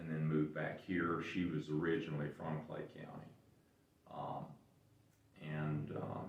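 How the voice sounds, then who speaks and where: A man with an American accent speaks at a fairly slow pace in a very deep, low pitch, his intonation fairly even. Long, frequent pauses break his speech, and the room echo is audible. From western North Carolina. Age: 70s. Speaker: local business owner. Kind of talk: interview. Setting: museum. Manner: halting.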